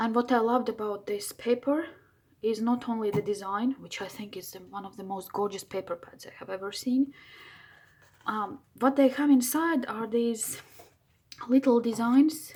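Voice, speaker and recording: In a non-native accent, a woman with a fairly high pitch speaks at a moderate pace, with long, frequent pauses and big swings in loudness. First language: not English. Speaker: crafting video maker. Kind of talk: craft tutorial. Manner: enthusiastic; halting.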